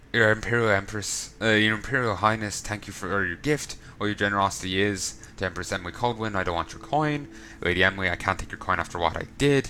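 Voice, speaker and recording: Noticeable background noise behind a man with an Irish accent, fairly low in pitch, with ordinary pitch variation at a very fast pace. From Ireland. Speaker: let's play gamer. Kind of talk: reading in-game notes aloud.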